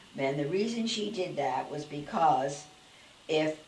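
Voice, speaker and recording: Noticeable background noise behind a woman with a very deep, low voice. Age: 80s+. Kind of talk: interview answer.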